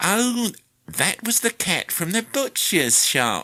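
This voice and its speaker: A put-on character voice sounds nasal and whiny at a fairly high pitch. The pace is very slow. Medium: read story. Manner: whining, ingratiating.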